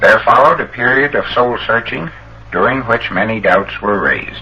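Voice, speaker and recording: Over noticeable background noise, a man with a Canadian accent speaks at a moderate pace. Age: 40s. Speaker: electrical engineer. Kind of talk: public lecture address.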